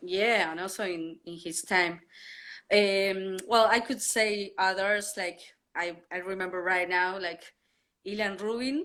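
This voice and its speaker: A woman talks in a Spanish accent with a bright, sharp tone. Her pace is fairly slow and her intonation fairly even. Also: medium pitch for a woman. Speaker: drummer. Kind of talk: interview. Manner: halting.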